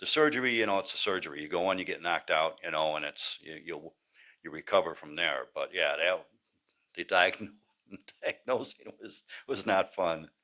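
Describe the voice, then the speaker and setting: A man with a very deep, low pitch and a bright, sharp tone speaks at a moderate pace, his loudness swinging widely while his pitch varies in an ordinary way. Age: 70s. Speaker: patient. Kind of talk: testimony. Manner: casual, halting.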